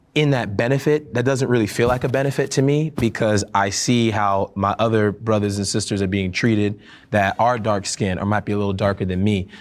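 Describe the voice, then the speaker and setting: On a very clean recording with a silent background, a man speaks at a fairly quick pace with an American accent and a fairly low pitch. It is a plain, everyday voice with ordinary pitch variation and very even loudness. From US, Caribbean American family. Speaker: panel discussion participant. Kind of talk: panel discussion.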